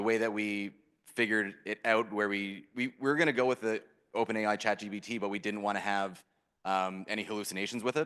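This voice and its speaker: A man with a Canadian accent, fairly low-pitched, bright and sharp in tone, fairly even in intonation, at a very fast pace. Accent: Canadian, apparent. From Canada. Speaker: startup founder. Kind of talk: Q&A interview on stage.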